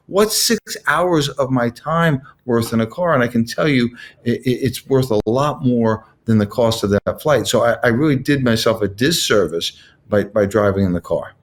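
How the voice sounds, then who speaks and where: With a normal speaking voice, a man talks at a moderate pace and a medium pitch, his intonation lively and his loudness very even. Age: 60s. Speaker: car dealership partner. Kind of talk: casual chat.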